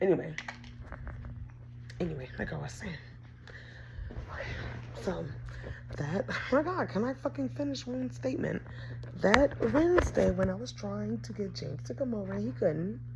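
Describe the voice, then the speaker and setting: Over noticeable background noise and audible room echo, a woman talks at a moderate pace with long, frequent pauses and big swings in loudness. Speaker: vlogger. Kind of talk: casual vlog monologue.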